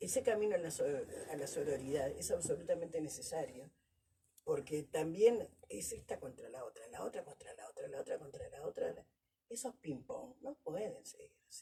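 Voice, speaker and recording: A woman speaks in a Rioplatense accent at a moderate pace. Her loudness swings widely. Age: 60s. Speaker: Afro women's activist. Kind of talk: panel discussion.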